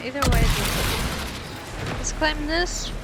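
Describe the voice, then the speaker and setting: Speaking with a non-native accent and ordinary pitch variation, a woman is heard with audible room echo and noticeable background noise. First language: not English. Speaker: gaming streamer. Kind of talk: casual gameplay commentary. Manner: reads game text aloud between casual remarks.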